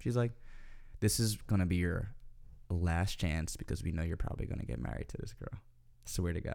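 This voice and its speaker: A man speaks at a fairly quick pace in a very deep, low voice with a dark, mellow tone and vocal fry. His intonation is lively, broken by long, frequent pauses. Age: 30s. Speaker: podcast co-host. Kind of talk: casual chat.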